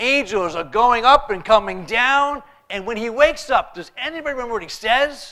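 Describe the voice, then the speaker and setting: A man speaks in a raised, projected voice at a high pitch and a fairly quick pace. His tone is animated and his intonation lively. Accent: American. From New York. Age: 40s. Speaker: pastor. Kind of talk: sermon. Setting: church.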